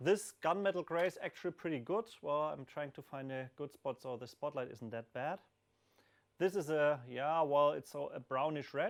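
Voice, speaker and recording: A man speaks with a non-native accent. The recording is very clean, with a silent background. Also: fairly high pitch for a man, ordinary pitch variation, moderate pace. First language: not English. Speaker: hardware developer answering community questions. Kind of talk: live stream Q&A. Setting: live stream with camera, hot room under a spotlight. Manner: hesitant, many fillers.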